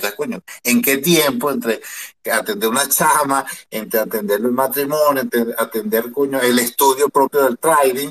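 A man with an ordinary speaking voice talks at a moderate pace. His pitch is fairly high, with ordinary pitch variation. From Venezuela. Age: 50s. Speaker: audience member. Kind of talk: question from audience. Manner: formal.

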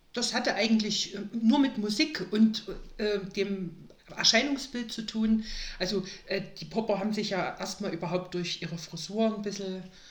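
A woman at medium pitch with ordinary pitch variation, fairly slow pace, long, frequent pauses, and audible room echo. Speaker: podcast guest, mother of a host. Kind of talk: casual interview.

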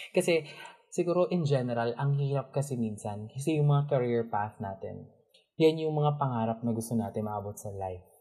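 A man's somewhat breathy, medium-pitched voice moves at a fairly quick pace in a dark, mellow tone, with ordinary pitch variation, in a very clean recording over a silent background. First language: Tagalog. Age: 20s. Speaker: podcast co-host. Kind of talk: casual chat.

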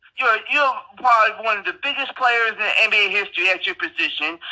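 In a raised, projected voice, a high-pitched man with an American accent speaks at a moderate pace with lively intonation. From Ohio. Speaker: sports podcast co-host. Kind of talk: casual chat.

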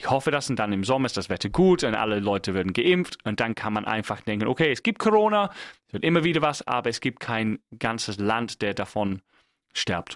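A man with an English accent speaks at a medium pitch over a quiet background, the sound dry and close with no echo. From England. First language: English (speaking German). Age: 30s. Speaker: podcast host. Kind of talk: solo monologue. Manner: halting.

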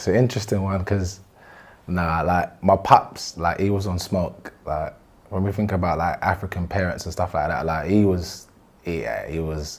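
With a London accent, a man talks at a moderate pace in a very deep, low pitch, keeping his intonation fairly even. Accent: London multicultural English. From South London (Brixton), British-Ghanaian. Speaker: former gang member. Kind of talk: interview.

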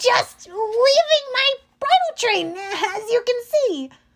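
The speaker puts on a character voice, delivered fairly slowly with lively intonation. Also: woman, extremely high pitch for a woman. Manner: feigned coy innocence.

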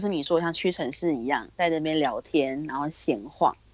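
This woman has an unremarkable speaking voice, with fairly low pitch, ordinary pitch variation and a moderate pace. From Taiwan. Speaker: retail worker. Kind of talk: casual interview chat.

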